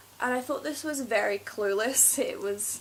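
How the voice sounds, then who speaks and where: A woman with a high voice and ordinary pitch variation talks while noticeable background noise plays. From Scotland. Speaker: beauty vlogger. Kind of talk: casual haul video monologue. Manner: hesitant, many fillers.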